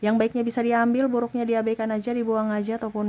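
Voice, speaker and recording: A soft-spoken woman with a dark, mellow tone. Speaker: tarot reader. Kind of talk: tarot reading.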